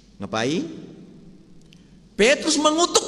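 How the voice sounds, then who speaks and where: A fairly slow delivery comes through noticeable background noise. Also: man. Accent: Sumatran. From Sumatra, Indonesia. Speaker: pastor. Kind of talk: sermon. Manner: conversational, asks the congregation questions.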